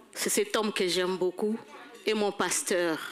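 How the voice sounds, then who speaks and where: A woman talks at a very slow pace. Noticeable background noise sits behind her. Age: old. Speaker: church elder at a seniors' banquet. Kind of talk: testimony. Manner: halting.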